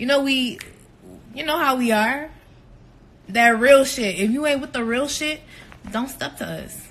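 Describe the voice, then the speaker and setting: Speaking at a fairly slow pace with long, frequent pauses, the voice shows ordinary pitch variation and big swings in loudness, with audible room echo around it. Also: woman, high pitch for a woman. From New Orleans area, Louisiana. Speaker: reality TV cast member. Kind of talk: Q&A vlog answering viewer questions. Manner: casual, filler-heavy with frequent 'like'.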